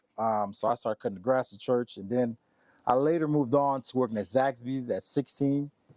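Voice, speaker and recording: A man's medium-pitched voice with a dark, mellow tone, ordinary pitch variation and a fairly quick pace, in a dry, close sound with no echo. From Haiti, raised in US from age seven. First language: Haitian Creole. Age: 30s. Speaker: sales expert. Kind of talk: interview. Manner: casual, many fillers.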